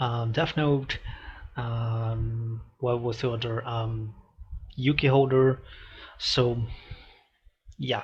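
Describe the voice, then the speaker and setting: A man with a medium pitch and a somewhat breathy voice speaks at a very slow pace in a monotone, flat intonation, leaving long, frequent pauses. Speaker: reaction video youtuber. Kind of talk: reaction video commentary. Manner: halting, many fillers.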